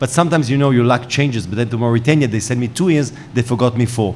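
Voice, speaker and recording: Heard with audible room echo and noticeable background noise, a man with an Israeli accent speaks at a medium pitch. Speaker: panel moderator, journalist. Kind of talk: panel moderation. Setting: conference stage with audience. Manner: hesitant, many fillers.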